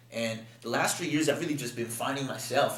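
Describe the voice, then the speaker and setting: A man speaks with fairly even intonation. Audible room echo and noticeable background noise surround his voice. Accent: Spanish. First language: Spanish. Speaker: rapper. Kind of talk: casual interview chat. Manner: fast; repeats words, stammering.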